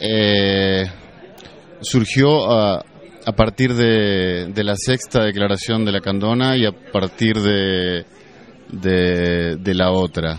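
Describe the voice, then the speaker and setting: This man's voice is fairly low in pitch, with ordinary pitch variation. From Argentina. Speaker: activist. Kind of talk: interview answers.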